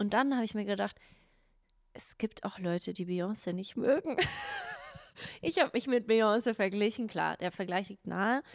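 Against a quiet background, a woman speaks at a moderate pace with ordinary pitch variation. Her loudness swings widely, and she takes long, frequent pauses. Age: 30s. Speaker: podcast co-host. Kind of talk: casual chat. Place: studio. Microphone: handheld.

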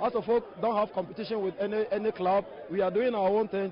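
With light background noise and a dry sound with no echo, a man speaks at a moderate pace in a high pitch with ordinary pitch variation. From Ghana. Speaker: football coach. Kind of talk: post-match interview. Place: stadium.

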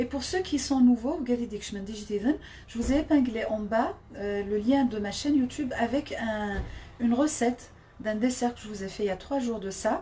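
Over light background noise, a woman talks at a fairly slow pace with a high pitch and ordinary pitch variation. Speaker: home cook livestreamer. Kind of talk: casual live stream chat. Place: kitchen. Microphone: phone near.

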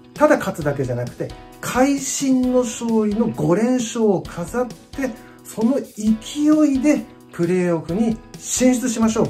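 A woman talks at a fairly slow pace with a fairly high pitch. Faint music plays in the background. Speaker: football supporter. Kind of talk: casual vlog talk to camera. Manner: polite, enthusiastic. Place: home room. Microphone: phone near.

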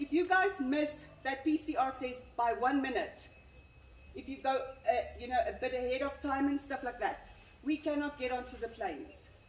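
At a moderate pace, a woman with a high pitch and ordinary pitch variation speaks in a room with audible echo. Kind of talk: briefing to a group. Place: street. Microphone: camera far.

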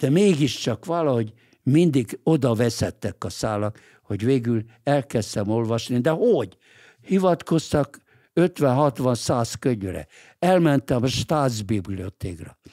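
Lively intonation marks this very slow delivery in a dark, mellow tone against a quiet background. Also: man. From Hungary, Budapest; Hungary. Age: 80s+. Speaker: lawyer and political writer; podcast guest. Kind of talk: interview. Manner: halting, with repeated words. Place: studio. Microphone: studio mic.

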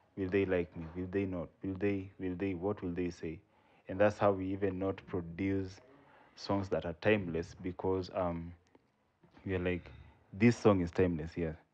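With a Kenyan accent, a man speaks at a moderate pace in a very deep, low pitch and a monotone, flat intonation. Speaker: spoken word poet. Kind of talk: podcast interview answer.

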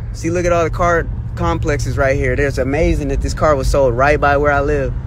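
A man at a fairly quick pace, dry sound with no echo, noticeable background noise. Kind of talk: casual vlog chat. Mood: excited, proud. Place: car. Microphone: phone near.

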